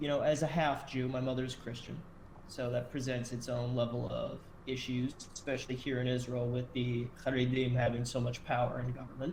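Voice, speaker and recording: Flat, monotone delivery from a man with an American accent, medium in pitch and fairly quick, amid noticeable background noise and audible room echo. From US, Delaware. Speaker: podcast host. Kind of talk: casual chat.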